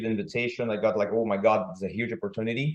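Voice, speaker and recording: A man speaks at a medium pitch with a non-native accent. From Brazil. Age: 40s. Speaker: kettlebell trainer. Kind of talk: podcast interview. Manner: halting.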